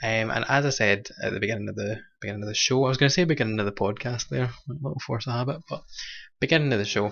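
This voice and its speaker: A man talks at a very fast pace. He speaks with a Scottish accent. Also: medium pitch for a man, ordinary pitch variation. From Scotland, Kilmarnock. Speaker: drag show host. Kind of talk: online show hosting. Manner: casual, hesitant with fillers.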